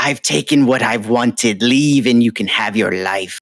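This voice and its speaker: A booming, put-on character voice speaks at a moderate pace with ordinary pitch variation. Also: man, medium pitch for a man. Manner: booming, threatening.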